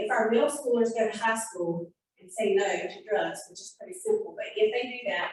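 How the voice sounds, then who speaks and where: At a fairly quick pace, a woman talks with a high pitch and an American accent. Her intonation is lively. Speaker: community coalition coordinator. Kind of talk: community meeting presentation. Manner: fast; animated.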